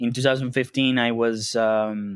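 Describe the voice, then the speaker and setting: The speech comes very slowly, in a Spanish accent. Intonation stays monotone and flat. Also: man. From Venezuela. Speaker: customer support head at a bitcoin company. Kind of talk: interview. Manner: halting, many fillers.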